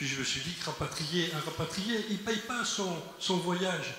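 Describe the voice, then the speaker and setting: Audible room echo and noticeable background noise surround a man speaking at a high pitch with ordinary pitch variation. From Algeria. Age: 70s. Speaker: audience member. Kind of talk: audience question.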